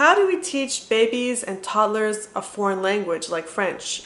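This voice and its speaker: With noticeable noise in the background, a woman speaks in a Montreal accent with lively intonation. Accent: Canadian English (Montreal). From Montreal, Canada. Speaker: parenting vlogger. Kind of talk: tutorial.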